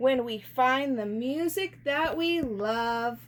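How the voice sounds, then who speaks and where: Using a put-on character voice, a woman speaks at a very slow pace with a high pitch. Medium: read story.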